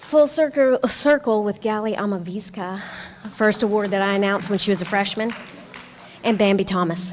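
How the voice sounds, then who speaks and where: Amid noticeable background noise, a woman talks at a moderate pace with medium pitch. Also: ordinary pitch variation. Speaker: professor. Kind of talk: award presentation speech.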